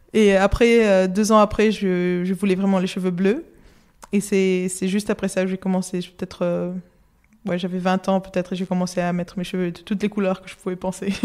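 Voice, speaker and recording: She talks fairly quickly with flat, monotone intonation. Her pitch is medium. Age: 20s. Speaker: illustrator. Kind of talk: interview. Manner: halting.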